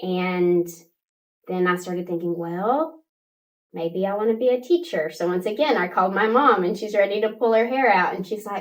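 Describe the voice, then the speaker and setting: Ordinary pitch variation marks this woman's medium-pitched voice with an American accent. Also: moderate pace. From West Texas, Midland area. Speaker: pre-K teacher. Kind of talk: interview.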